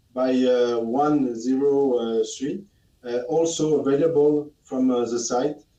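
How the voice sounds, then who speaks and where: Speaking very slowly with a French accent, a man uses a fairly high pitch, ordinary pitch variation and a dark, mellow tone. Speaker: product expert. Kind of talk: webinar Q&A. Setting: live webinar studio. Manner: halting, many fillers.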